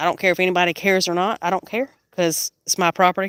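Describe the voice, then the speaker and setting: A woman's bright, sharp voice with an American accent at a moderate pace, the sound dry and close with no echo. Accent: Southern accent, noticed by viewers. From South Carolina. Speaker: homesteader. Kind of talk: casual livestream tour.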